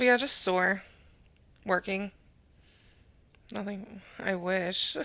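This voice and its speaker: Loud and very slow, a woman speaks at a medium pitch with fairly even intonation and a bright, sharp tone. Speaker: podcast co-host. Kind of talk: casual chat. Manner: loud, projecting.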